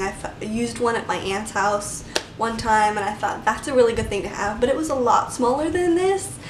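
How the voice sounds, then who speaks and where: Mumbling in a fairly high pitch, a woman swings very widely in pitch amid audible room echo and noticeable background noise. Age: 20s. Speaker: vlogger. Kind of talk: casual chat.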